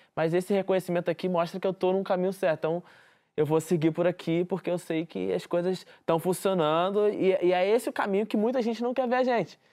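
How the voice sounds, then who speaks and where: A man speaks in a high pitch with a dark, mellow tone and ordinary pitch variation. His pace is fairly quick, his loudness very even, and the background quiet. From Rio de Janeiro favela. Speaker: community journalist. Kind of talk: interview.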